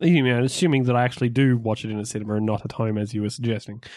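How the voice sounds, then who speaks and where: A man with an Australian accent talks very fast at a medium pitch. The recording is very clean, the background silent. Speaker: podcast host. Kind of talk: casual chat.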